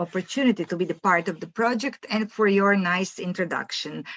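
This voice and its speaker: A woman with a Croatian accent, medium pitch and ordinary pitch variation, at a moderate pace, in a dry, close sound with no echo and noticeable background noise. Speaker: professor. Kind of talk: lecture. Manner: halting.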